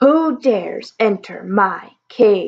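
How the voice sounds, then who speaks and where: Loud and growling, a woman uses a put-on character voice with a fairly high pitch. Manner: commanding, demanding.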